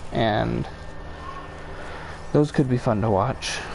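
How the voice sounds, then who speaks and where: Talking at a very slow pace, a man is heard against noticeable background noise. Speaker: game streamer. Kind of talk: live gameplay stream chat. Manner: casual, hesitant with fillers.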